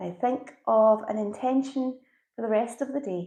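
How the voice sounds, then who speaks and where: Speaking with a Scottish accent, a woman uses a fairly high pitch and ordinary pitch variation. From Scotland. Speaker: yoga instructor. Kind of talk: guided yoga and breathwork instruction. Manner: calm, soothing, slow.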